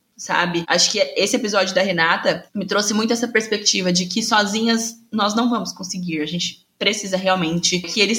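With a normal speaking voice, a woman talks at a moderate pace, her medium pitch carrying fairly even intonation. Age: 20s. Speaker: podcast host, journalist. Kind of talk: casual chat.

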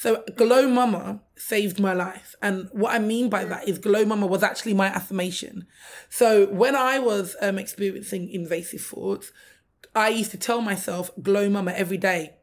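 Speaking with a London accent, a woman keeps a medium pitch, fairly even intonation and a moderate pace. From London, England. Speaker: maternal health advocate. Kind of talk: casual interview.

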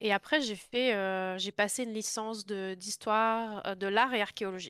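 Over a quiet background, a woman speaks at a very slow pace in a bright, sharp tone. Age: 20s. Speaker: content moderation professional in video games. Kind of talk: interview.

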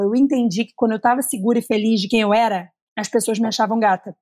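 Very fast, somewhat breathy speech with fairly even intonation and a dry, close sound with no echo. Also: woman. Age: 30s. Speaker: content creator. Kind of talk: casual chat. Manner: talkative.

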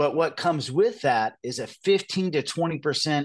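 In an American accent, a man with an ordinary speaking voice talks at a moderate pace with lively intonation over a quiet background. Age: 50s. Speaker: presidential candidate. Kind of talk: interview.

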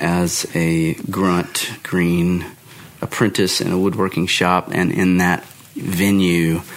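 A man's very deep, low voice delivers every line in a flat monotone. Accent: American. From Texas. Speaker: guitar builder. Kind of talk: casual chat.

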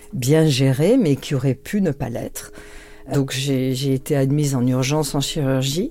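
There is noticeable background noise. Through it, a woman talks with a very deep, low pitch. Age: 60s. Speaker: public prosecutor. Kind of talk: interview conversation.

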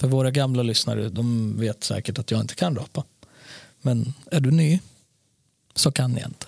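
A somewhat breathy man speaks with long, frequent pauses in a dry, close sound with no echo. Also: medium pitch for a man, ordinary pitch variation, moderate pace. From born in Serbia, moved to Sweden around age four. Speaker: podcast co-host. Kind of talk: casual chat. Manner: animated.

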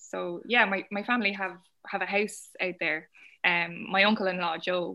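This woman has a bright, sharp tone, a medium pitch and fairly even intonation, with an Irish accent. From Ireland. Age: 20s. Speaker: novelist. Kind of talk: casual chat. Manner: hesitant, with frequent fillers.

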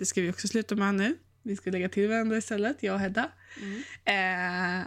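Here is a woman with a plain, everyday voice at medium pitch, speaking at a moderate pace with fairly even intonation. The recording is very clean with a silent background. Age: 30s. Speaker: podcast co-host, virtual assistant student. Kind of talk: casual chat.

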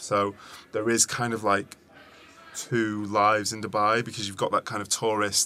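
A man with a British accent talks at a moderate pace, with a bright, sharp tone and a fairly low pitch. His intonation is monotone and flat. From England. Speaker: founder of an events agency. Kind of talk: interview conversation. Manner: halting, with frequent repetitions.

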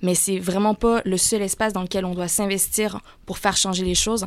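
A woman talks in a monotone, flat intonation at a medium pitch and moderate pace. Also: very clean recording, silent background. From Canada. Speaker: climate campaigner. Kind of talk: radio interview.

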